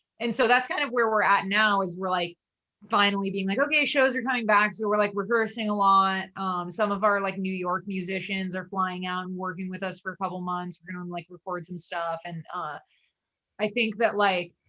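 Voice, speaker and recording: A woman speaks in an ordinary speaking voice at a medium pitch. Her pace is fairly quick, with ordinary pitch variation. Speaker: avant-rock band leader. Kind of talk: casual interview chat.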